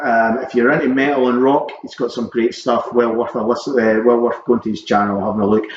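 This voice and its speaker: Noticeable background noise sits behind a man speaking with a Scottish accent. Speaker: vinyl collector vlogger. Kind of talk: casual vlog chat. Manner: hesitant, many ums.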